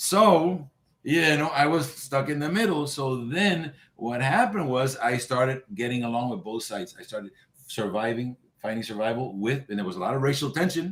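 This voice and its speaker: Lively in intonation, a man talks at a moderate pace and medium pitch. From New York, the Bronx (born in Cuba). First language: Spanish. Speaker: boxing trainer. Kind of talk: interview.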